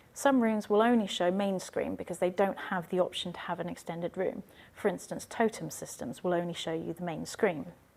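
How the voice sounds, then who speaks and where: Soft-spoken and at a fairly quick pace, a woman talks at medium pitch with ordinary pitch variation. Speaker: IT trainer. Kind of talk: tutorial. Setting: university teaching room.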